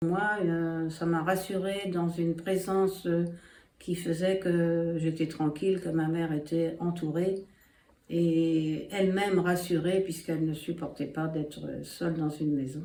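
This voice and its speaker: A woman's fairly low voice at a very slow pace, monotone and flat in intonation. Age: 80s+. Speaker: interviewee, daughter of a host family member. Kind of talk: testimony. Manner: hesitant, many filler pauses.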